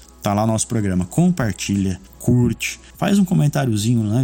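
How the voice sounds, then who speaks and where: A man's somewhat breathy voice carries a dark, mellow tone and very wide pitch swings. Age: 30s. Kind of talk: casual chat.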